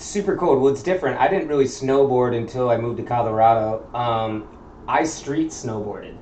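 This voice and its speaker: A man with an American accent, medium pitch and ordinary pitch variation, talking at a fairly quick pace with big swings in loudness amid audible room echo. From Chicago area, US Midwest. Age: 30s. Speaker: tattoo artist. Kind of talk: casual chat.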